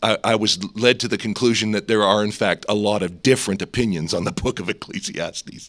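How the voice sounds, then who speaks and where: In an ordinary speaking voice, a man talks at a fairly low pitch with fairly even intonation. He moves at a fairly quick pace with hardly any pauses, and the recording is very clean with a silent background. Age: 50s. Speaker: seminary president preaching. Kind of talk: sermon. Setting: chapel service.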